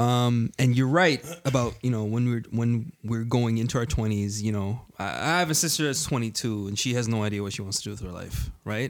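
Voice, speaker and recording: An unremarkable speaking voice at a moderate pace, with ordinary pitch variation and hardly any pauses. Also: man, medium pitch for a man. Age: 20s. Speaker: panelist. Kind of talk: casual chat.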